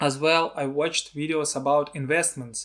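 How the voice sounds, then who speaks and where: Here a man speaks at a moderate pace with a fairly high pitch. The recording is very clean, with a silent background. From Russia, Siberia. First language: Russian. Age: 30s. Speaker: filmmaker and video blogger. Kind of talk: personal vlog talk. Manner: halting, non-fluent.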